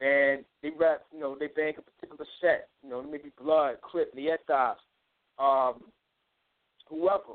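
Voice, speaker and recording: The intonation stays monotone and flat. Long pauses come frequently. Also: man, fairly high pitch for a man, fairly slow pace. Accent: New York. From Long Island, New York. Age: 30s. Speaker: spiritual teacher and musician. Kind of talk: lecture. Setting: phone call.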